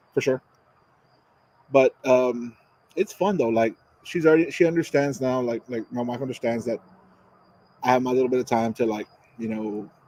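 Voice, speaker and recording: Mumbling at a moderate pace with long, frequent pauses, a man's medium-pitched voice has a dark, mellow tone in a dry, close sound with no echo. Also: ordinary pitch variation. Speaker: cigar reviewer and podcast co-host. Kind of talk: casual chat.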